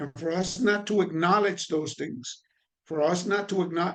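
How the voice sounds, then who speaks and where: Here a man speaks with a high pitch. His pace is moderate and his pitch varies in an ordinary way. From Puerto Rico. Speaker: trainer on addiction and recovery. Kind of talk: online training lecture. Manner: conversational with fillers and repetitions.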